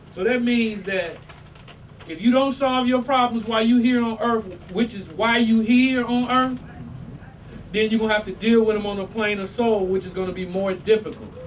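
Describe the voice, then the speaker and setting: A high-pitched man with a slight Southern US accent, audible room echo and noticeable background noise. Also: moderate pace. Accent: slightly Southern (country). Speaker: religious teacher. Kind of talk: religious talk to congregation. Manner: animated.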